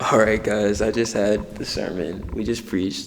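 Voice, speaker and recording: A man with an American accent, amid noticeable background noise and audible room echo. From United States. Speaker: vlogger and missionary preacher. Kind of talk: sermon; vlog. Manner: fast when excited.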